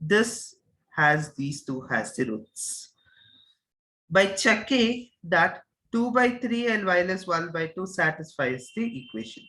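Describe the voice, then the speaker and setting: A man speaks at a very slow pace in a raised, projected voice with a high pitch and a bright, sharp tone. His pitch swings very widely. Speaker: mathematics teacher. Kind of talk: lecture.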